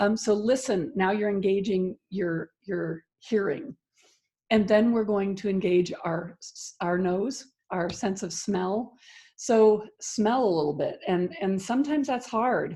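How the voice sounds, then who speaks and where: A woman speaks at a fairly slow pace in a medium pitch. Her tone is dark and mellow, and somewhat breathy. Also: ordinary pitch variation. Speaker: ministry leader and parenting coach. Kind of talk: guided grounding exercise. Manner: calm, instructive.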